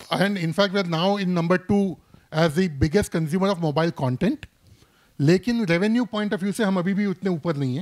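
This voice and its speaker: A high-pitched man with a Bombay accent, in a very clean, dry, close recording with no echo and a silent background. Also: ordinary pitch variation. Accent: Bombay-style Hindi. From Mumbai, India. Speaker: gaming industry expert. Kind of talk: panel discussion. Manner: frequent Hindi-English code-switching.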